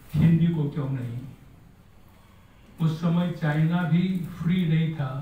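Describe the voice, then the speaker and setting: There is audible room echo as a man speaks at a fairly high pitch. His tone is dark and mellow. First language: Marathi (speaking Hindi). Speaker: scholar, speaker at book launch. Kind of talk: formal speech to an audience.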